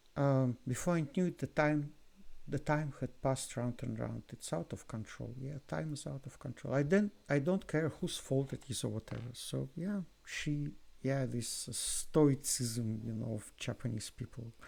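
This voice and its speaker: A man at medium pitch with a non-native accent, ordinary pitch variation and a fairly slow pace. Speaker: music reaction youtuber. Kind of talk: video commentary reaction. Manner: halting, with repetitions and fillers.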